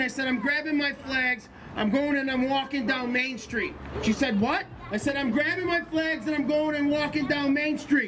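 Moderate pace over noticeable background noise. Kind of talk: rally speech. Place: street.

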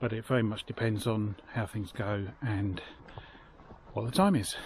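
A somewhat breathy man at a moderate pace, fairly even in intonation, with a dry, echo-free sound and light background noise. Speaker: hiker vlogger. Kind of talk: casual vlog chat. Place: beach. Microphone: phone near.

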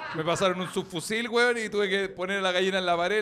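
Light background noise sits under a man with a Chilean accent. He talks at a very fast pace with a high pitch and an animated tone. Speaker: comedian; podcast host. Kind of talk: casual chat. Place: studio. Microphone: studio mic.

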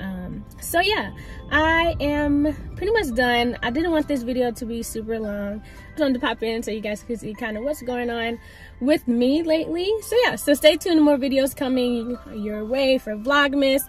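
A woman with a high pitch and ordinary pitch variation talks at a moderate pace with big swings in loudness, faint music in the background and a dry sound with no echo. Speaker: vlogger. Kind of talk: casual vlog chat. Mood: warm, reflective. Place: car. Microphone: phone near.

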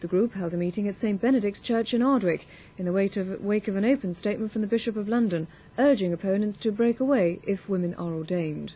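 Her voice somewhat breathy and dark, mellow in tone, a woman speaks at a very fast pace with ordinary pitch variation. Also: medium pitch for a woman. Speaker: news presenter. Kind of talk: 1980s TV news bulletin, read from script. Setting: television broadcast. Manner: formal, measured, crisp newsreader delivery.

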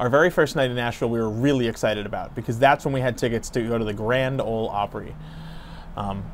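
A man talking at a very fast pace, light background noise behind him. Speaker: family travel vlogger. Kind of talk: casual vlog chat. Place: street. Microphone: lapel.

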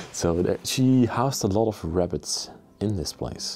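There is faint music in the background as a man speaks. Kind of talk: casual vlog chat. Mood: calm, slightly somber. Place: empty room. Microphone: phone near.

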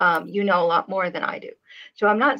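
At a moderate pace, a woman speaks in a bright, sharp tone. Her pitch variation is ordinary, and the background is quiet. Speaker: artist and channel host; channel host. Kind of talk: casual chat. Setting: live stream video call. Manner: soft-spoken. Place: home room. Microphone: webcam.

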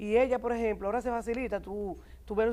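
Her dark, mellow tone rushes by at a very fast pace as the woman speaks. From Dominican Republic, Santo Domingo; Dominican Republic. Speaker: doctor, TV talk show guest; TV talk show guest. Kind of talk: TV talk show chat. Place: studio.

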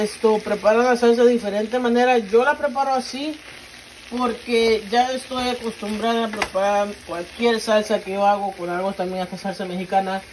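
Speaking at a moderate pace with fairly even intonation, a woman is heard over light background noise. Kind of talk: cooking tutorial. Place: kitchen. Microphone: phone near.

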